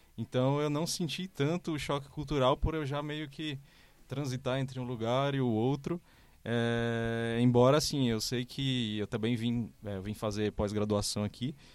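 The recording is very clean, with a silent background. It carries an ordinary speaking voice with ordinary pitch variation. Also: man, medium pitch for a man, fairly slow pace. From Fortaleza, Ceará, Northeast Brazil. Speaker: designer. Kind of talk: casual chat. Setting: studio.

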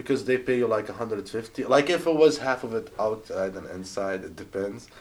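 A man with an Arabic accent speaks at a moderate pace, his medium pitch showing ordinary variation. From Jordan. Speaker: rideshare driver. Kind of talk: casual chat.

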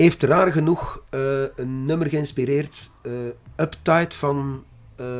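Speaking at a very slow pace, a man uses a fairly high pitch and fairly even intonation. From Brussels, Belgium. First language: French (speaking Dutch). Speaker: singer. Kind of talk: interview.

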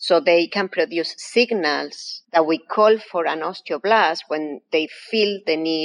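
A woman with an Argentine accent speaks at a fairly slow pace. Her pitch is fairly low, with ordinary variation. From Argentina. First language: Spanish. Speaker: professor. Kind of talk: interview.

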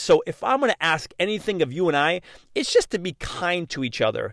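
On a very clean recording with a silent background, a man speaks at a high pitch and a fairly quick pace in an upbeat, enthusiastic tone. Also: dry, close sound with no echo. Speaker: motivational podcast host. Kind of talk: motivational monologue. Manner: fast talker.

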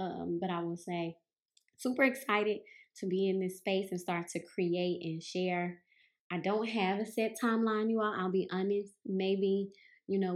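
A woman talks at a fairly slow pace with a Southern US accent. Her intonation stays fairly even. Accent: Southern drawl, noticeable. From US South, Mississippi. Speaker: yoga and meditation teacher, podcast host. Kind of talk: casual introduction monologue. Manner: halting, many fillers.

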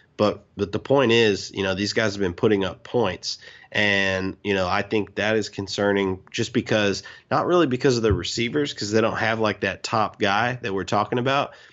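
A man's fairly low-pitched, a normal speaking voice, with fairly even intonation at a moderate pace. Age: 30s. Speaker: podcast co-host, football fan. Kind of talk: casual chat.

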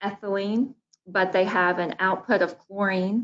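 A woman talks at a fairly slow pace with an Alabama accent. Her pitch is medium. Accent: US Southern (Alabama). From Baldwin County, Alabama. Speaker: economic development director. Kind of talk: interview.

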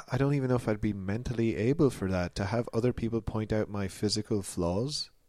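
This is a man with an ordinary speaking voice. His medium pitch has ordinary variation. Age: 30s. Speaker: comedy podcast host. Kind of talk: comedic mock interview. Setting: studio.

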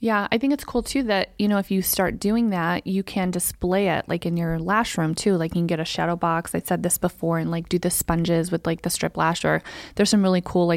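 A woman with an ordinary speaking voice, fairly low in pitch with ordinary pitch variation, at a fairly quick pace with hardly any pauses and very even loudness, in a dry, close sound with no echo on a very clean recording with a silent background. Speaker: podcast co-host, lash business owner. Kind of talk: casual chat. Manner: playful, teasing.

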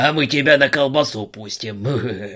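A man puts on a growling character voice at a medium pitch and a moderate pace.

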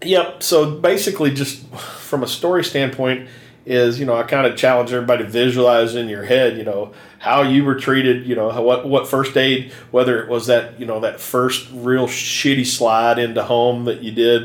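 A man speaks with an American accent and fairly even intonation. Noticeable background noise runs behind him. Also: medium pitch for a man, moderate pace. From Kentucky. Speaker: safety equipment supplier, podcast co-host. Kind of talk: casual chat.

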